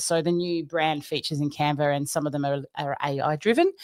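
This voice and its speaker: A woman's animated voice in an Australian accent, at a moderate pace, with a dry, echo-free sound and a quiet background. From Australia, Queensland. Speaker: design trainer; presenter, design trainer. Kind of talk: presentation. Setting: live stream. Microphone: webcam.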